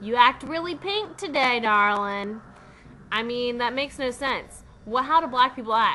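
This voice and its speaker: A woman's high, bright, sharp voice in a Southern US accent. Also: lively intonation, moderate pace. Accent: Southern US country. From US South. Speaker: vlogger. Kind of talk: casual vlog monologue.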